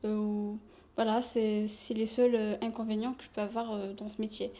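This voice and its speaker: At a very slow pace, a woman speaks at a fairly high pitch with monotone, flat intonation. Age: 20s. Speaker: shop sales assistant. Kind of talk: interview.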